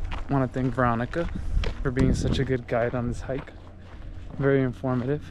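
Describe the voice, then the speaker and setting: With noticeable background noise in a dry sound with no echo, a man talks at a fairly quick pace. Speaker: vlogger on a nature hike. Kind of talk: casual vlog chat. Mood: reflective, appreciative. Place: open country. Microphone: phone near.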